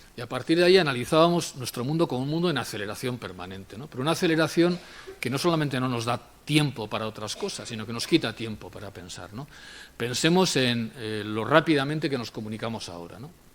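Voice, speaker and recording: A man talks at a very fast pace with lively intonation. His loudness swings widely. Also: medium pitch for a man. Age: 60s. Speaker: sociologist. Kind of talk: lecture. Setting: university auditorium with audience. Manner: conversational with frequent fillers.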